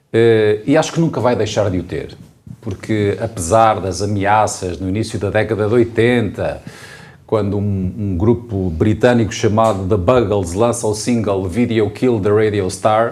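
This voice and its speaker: In a room with audible echo, a man speaks fairly slowly in a fairly low voice with fairly even intonation. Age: young. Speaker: mayor, former radio journalist. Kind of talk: panel conversation. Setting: town hall.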